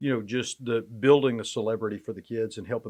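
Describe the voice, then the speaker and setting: In a quiet background, a man with an ordinary speaking voice and an American accent speaks at a fairly quick pace and a medium pitch. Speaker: sports play-by-play announcer. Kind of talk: podcast interview answer.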